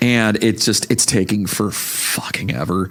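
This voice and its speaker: Noticeable background noise fills the recording. A man talks fairly slowly over it. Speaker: podcast co-host. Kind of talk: casual chat. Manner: casual, hesitant with fillers.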